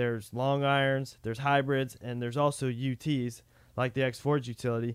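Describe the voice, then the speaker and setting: A man talks at a moderate pace in an ordinary speaking voice, his pitch medium. The recording is very clean, with a silent background. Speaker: podcast co-host. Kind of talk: casual podcast chat.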